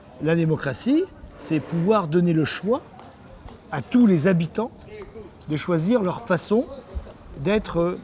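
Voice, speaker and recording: The speaker talks at a very slow pace with lively intonation. Noticeable background noise runs underneath. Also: man. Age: 60s. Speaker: mayor and politician. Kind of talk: interview answering a child. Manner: hesitant, many fillers.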